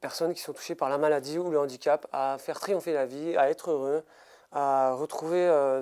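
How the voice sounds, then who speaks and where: At a fairly slow pace, a man with a fairly high pitch and a dark, mellow tone speaks with fairly even intonation in a very clean recording with a silent background. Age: 30s. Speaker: motivational speaker and mental coach. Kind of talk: interview. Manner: halting, many hesitations.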